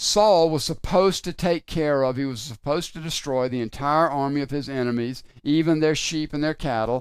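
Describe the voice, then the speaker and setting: A man with a plain, everyday voice, a fairly high pitch, ordinary pitch variation and a fairly quick pace, on a very clean recording with a silent background. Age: 60s. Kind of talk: devotional teaching talk.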